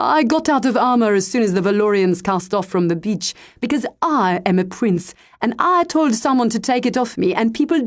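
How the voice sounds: The reading voice is natural, with lively intonation.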